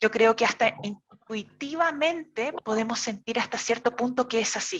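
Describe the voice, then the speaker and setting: With a Chilean accent, a woman speaks fairly slowly at a fairly high pitch with ordinary pitch variation. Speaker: therapist and course teacher. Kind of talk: online lecture.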